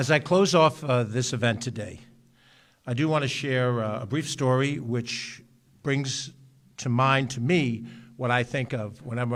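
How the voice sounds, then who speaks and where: A man with a New York accent talks at a moderate pace. His pitch is medium, with ordinary variation. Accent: New York area American. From New York, Westchester (Mount Vernon). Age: 60s. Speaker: county executive, politician. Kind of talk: ceremonial speech. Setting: public ceremony at ambulance corps building. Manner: earnest, with frequent filler 'uh'.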